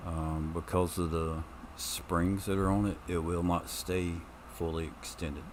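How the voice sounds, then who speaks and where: A man's very deep, low voice with monotone, flat intonation at a fairly slow pace. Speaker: gaming streamer. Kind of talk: gameplay commentary. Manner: loud; hesitant, many ums. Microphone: new mic stand, mic moved closer.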